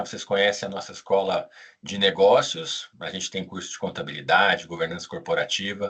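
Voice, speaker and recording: The speaker is a man with a fairly low pitch. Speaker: business school director, former auditor. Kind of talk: live webinar presentation. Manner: casual.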